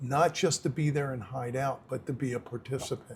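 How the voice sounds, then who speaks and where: Somewhat breathy and medium in pitch, a man talks at a fairly slow pace with fairly even intonation. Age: 60s. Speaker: former prisoner, halfway house founder. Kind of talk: interview conversation. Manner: casual, plain-spoken.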